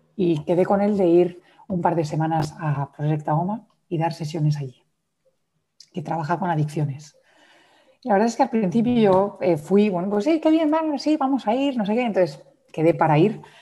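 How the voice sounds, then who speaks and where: Her voice dark, mellow and somewhat breathy, a woman speaks at a moderate pace with lively intonation. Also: fairly low pitch for a woman. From Madrid, Spain, then raised abroad. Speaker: yoga teacher and trauma specialist. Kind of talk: interview conversation.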